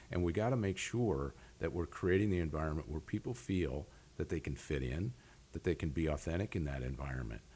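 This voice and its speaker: A man with an American accent speaks at a very deep, low pitch in a dark, mellow tone, with vocal fry and lively intonation. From US Midwest, northeast Iowa farm. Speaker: aerospace executive. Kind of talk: interview.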